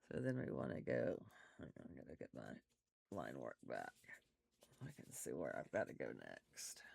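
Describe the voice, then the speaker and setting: The voice is soft-spoken, at a moderate pace with long, frequent pauses. The sound is dry and close with no echo. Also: man. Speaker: art instructor. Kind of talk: tutorial.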